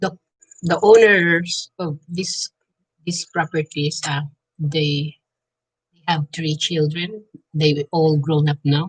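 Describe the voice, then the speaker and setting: A woman with a fairly low pitch and a somewhat breathy voice speaks at a very slow pace, with long, frequent pauses, fairly even intonation, and a dry, close sound with no echo. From Philippines. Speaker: vlogger. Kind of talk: casual vlog chat. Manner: halting.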